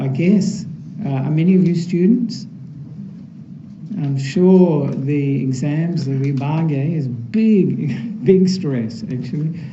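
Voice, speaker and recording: Soft-spoken and fairly high in pitch, a man talks very slowly with ordinary pitch variation and long, frequent pauses, amid noticeable background noise and audible room echo. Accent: Australian. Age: 60s. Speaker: Buddhist monk. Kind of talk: dharma talk. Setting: temple hall with audience.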